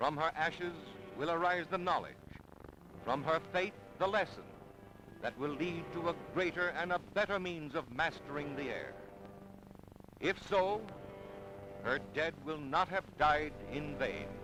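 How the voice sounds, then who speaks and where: Over background music, a man speaks with lively intonation at a fairly slow pace, leaving long, frequent pauses. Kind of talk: archival newsreel narration. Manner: solemn, dramatic.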